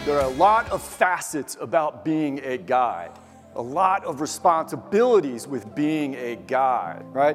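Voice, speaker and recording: With music in the background, a man speaks at a fairly slow pace in a fairly high pitch, his voice making very wide pitch swings. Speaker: motivational speaker; mountain guide. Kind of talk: keynote speech to live audience.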